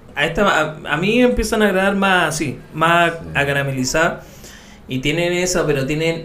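A man speaks at a high pitch with ordinary pitch variation. Noticeable background noise can be heard. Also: moderate pace. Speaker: podcast co-host. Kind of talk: casual chat.

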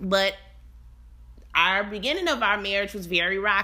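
The voice sounds animated, with a bright, sharp tone and vocal fry. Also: woman. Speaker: family life coach and podcast host. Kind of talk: casual solo podcast monologue. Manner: animated, frequent laughter.

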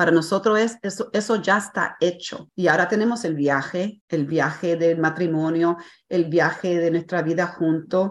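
Against a quiet background, a woman talks with hardly any pauses. Her pitch is fairly low and her intonation fairly even. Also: moderate pace. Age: 60s. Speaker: life coach. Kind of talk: interview. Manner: hesitant, with many fillers.

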